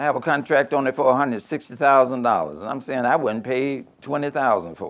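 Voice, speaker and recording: At a moderate pace, a man talks with a medium pitch and vocal fry. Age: 70s. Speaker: former minister, business speaker. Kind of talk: talk at a mosque program with Q&A. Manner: conversational, informal.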